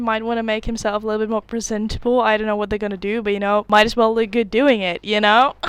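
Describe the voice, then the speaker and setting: A woman speaks at a fairly high pitch with fairly even intonation. The recording is very clean, with a silent background. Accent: Dutch. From Netherlands. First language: Dutch. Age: 20s. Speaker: YouTuber, university student. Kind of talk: reaction video commentary. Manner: casual, chatty.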